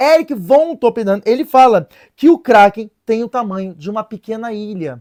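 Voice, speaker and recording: This man's voice sits high in pitch, with an animated tone and big swings in loudness. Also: lively intonation, moderate pace, dry, close sound with no echo. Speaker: religious video presenter. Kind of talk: casual explainer chat. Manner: hesitant, many fillers.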